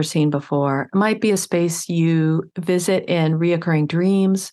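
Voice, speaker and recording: A woman's fairly low voice against a quiet background, an ordinary speaking voice. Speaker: wellness podcaster. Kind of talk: guided meditation. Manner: slow, calm, soothing pacing; gentle, nurturing tone.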